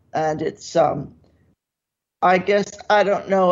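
A woman with fairly low pitch, fairly even intonation and an ordinary speaking voice. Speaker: radio show host. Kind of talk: guided meditation. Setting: radio studio.

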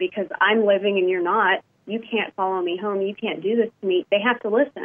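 A normal speaking voice with an American accent and ordinary pitch variation. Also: woman. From Texas and Indiana. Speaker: paranormal investigator. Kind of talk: casual interview.

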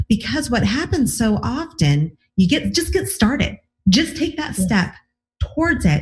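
In an enthusiastic, upbeat tone, a woman speaks at a moderate pace and fairly high pitch, with very wide pitch swings and vocal fry. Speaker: relationship coach and podcast host. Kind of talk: interview podcast.

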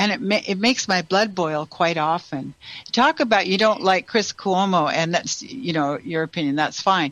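With lively intonation, a woman speaks at a moderate pace in a normal speaking voice of medium pitch. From Canada. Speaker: radio host and intuitive healer. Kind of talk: call-in show chat. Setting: radio studio with phone and Zoom callers.

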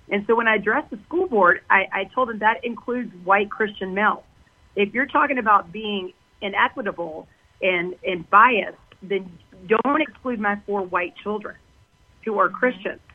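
Speaking in an American accent, a woman with an unremarkable speaking voice keeps a moderate pace, medium pitch and ordinary pitch variation. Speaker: healthcare worker and parent activist. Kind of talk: radio interview.

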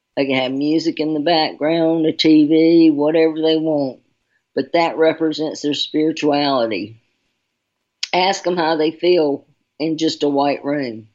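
A woman with a Southern US accent speaks at a fairly slow pace, her very deep, low pitch held in fairly even intonation. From Charlotte, North Carolina. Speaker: radio host giving intuitive readings. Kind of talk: radio talk show. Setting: radio show with callers.

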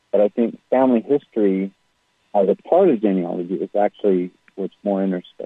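A man with an American accent speaks at a moderate pace and a fairly low pitch. He has ordinary pitch variation and a normal speaking voice. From Utah, US (West Jordan, Salt Lake City suburb). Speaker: genealogy teacher. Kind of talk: interview. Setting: radio show.

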